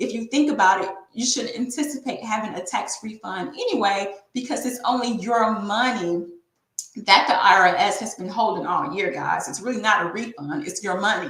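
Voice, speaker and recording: Audible room echo surrounds a woman with an American accent. Her fairly high voice moves at a moderate pace with lively intonation. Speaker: tax and bookkeeping professional hosting a business webinar. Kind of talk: webinar presentation.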